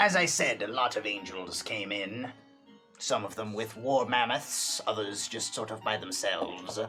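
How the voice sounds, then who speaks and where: This man talks in a put-on character voice at a medium pitch and a moderate pace. Clear music plays in the background. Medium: actual play. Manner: rambling, hesitant, casual.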